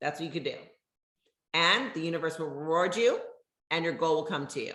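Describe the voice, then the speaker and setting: The woman's tone is animated as she talks. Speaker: network marketing leader. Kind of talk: motivational talk. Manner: loud.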